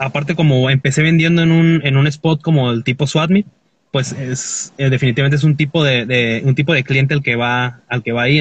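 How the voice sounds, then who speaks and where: Its pace is moderate and its pitch moves in an ordinary way. There is some breathiness to it. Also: man. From Mexico, Tecate, Baja California. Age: 20s. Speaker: clothing store owner and folk musician. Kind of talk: casual chat. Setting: in a car, remote call.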